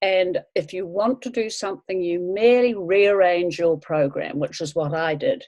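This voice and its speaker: With a New Zealand accent, a woman speaks fairly slowly with ordinary pitch variation. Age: 70s. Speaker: language course student. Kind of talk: interview.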